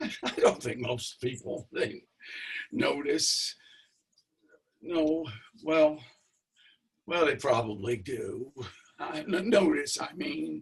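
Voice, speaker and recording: A man uses a put-on character voice that is raspy, fairly high-pitched and nervous in tone. He speaks at a very slow pace with long, frequent pauses. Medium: stage play. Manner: stammering, rambling, nervous laughter.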